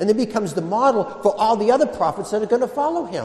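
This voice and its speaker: The man's voice sits high, with ordinary pitch variation. Noticeable background noise runs under it. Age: 50s. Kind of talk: sermon.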